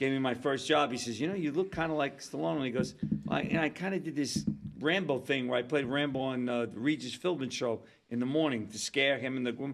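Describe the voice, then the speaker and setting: A man at medium pitch, talking at a very fast pace with ordinary pitch variation. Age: 60s. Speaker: actor. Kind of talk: casual chat. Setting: studio.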